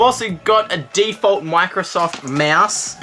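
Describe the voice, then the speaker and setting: A woman with an Australian accent, against noticeable background noise. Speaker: YouTuber. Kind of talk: casual vlog, opening fan mail. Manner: animated.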